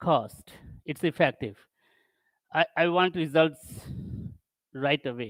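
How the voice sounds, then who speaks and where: With long, frequent pauses and a non-native accent, a man speaks at a very slow pace in a fairly high voice with ordinary pitch variation and a dry, close sound with no echo. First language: not English. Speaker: tech conference speaker. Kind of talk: tech talk. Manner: halting.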